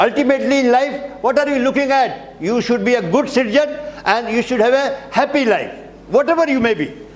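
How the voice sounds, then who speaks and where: In a room with audible echo, a man with an extremely high pitch speaks at a fairly quick pace. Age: 70s. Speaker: teacher, retired naval officer. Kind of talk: lecture. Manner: repetitive, emphatic.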